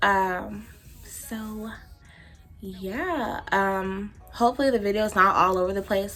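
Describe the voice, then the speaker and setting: An American woman's fairly slow speech over noticeable background noise. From Texas. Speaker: beauty vlogger. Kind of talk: casual chat. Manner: animated.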